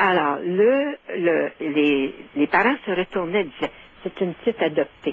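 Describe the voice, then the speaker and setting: Very wide pitch swings and big swings in loudness mark this speech, delivered at a fairly slow pace. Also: woman, fairly low pitch for a woman. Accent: Quebec. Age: 70s. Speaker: caller. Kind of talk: phone-in storytelling.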